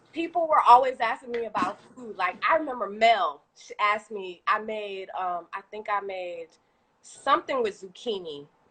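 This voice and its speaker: Her bright, sharp voice sits fairly high for a woman, with lively intonation, an animated tone and big swings in loudness. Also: moderate pace. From Haitian heritage. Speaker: small business owner, fitness and food creator. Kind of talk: casual interview on a livestream. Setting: live video stream.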